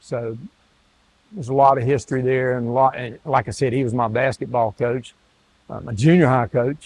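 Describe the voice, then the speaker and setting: With a North Carolina accent, a man speaks at a medium pitch in fairly even intonation, taking long, frequent pauses. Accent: North Carolina Southern. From US South. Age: 70s. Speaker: retired athletic director. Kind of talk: interview. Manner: halting.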